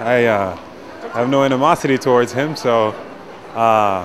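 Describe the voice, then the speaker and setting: Someone with a New York accent speaks with ordinary pitch variation over noticeable background noise. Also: man. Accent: New York American. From US, New York. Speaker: passer-by in street interview. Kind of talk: vox pop street interview. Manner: halting.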